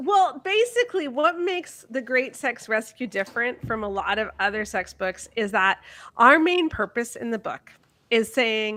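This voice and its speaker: Using very wide pitch swings, a woman speaks high-pitched at a moderate pace with a bright, sharp tone. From Canada. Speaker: author and blogger. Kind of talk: podcast interview.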